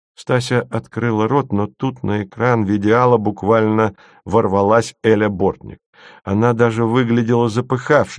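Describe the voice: The clip is plain reading aloud, and the intonation stays fairly even.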